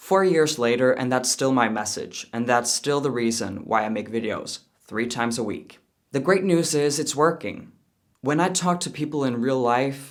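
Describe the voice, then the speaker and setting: Someone with a Danish accent talks at a moderate pace with ordinary pitch variation. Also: man. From Denmark. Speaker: YouTuber, commentator. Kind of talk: reaction commentary and thank-you message to viewers.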